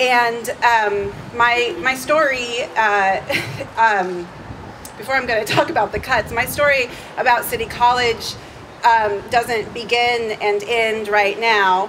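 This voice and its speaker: A woman with an American accent talks at a very slow pace in a fairly high voice over noticeable background noise. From San Francisco Bay Area, California. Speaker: college instructor. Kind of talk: protest rally speech. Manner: halting, many fillers.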